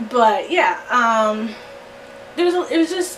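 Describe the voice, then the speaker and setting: Very slowly, a woman with a high pitch speaks in very wide pitch swings, with audible room echo and noticeable background noise around her. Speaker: YouTuber reviewing movie soundtracks. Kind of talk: casual vlog review. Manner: filler-heavy, repetitive.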